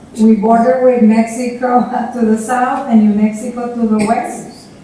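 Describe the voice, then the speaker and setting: Amid noticeable background noise and audible room echo, a woman with a fairly high pitch speaks slowly-ish, at a fairly slow pace, in a monotone, flat delivery. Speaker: public health official. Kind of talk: conference panel presentation.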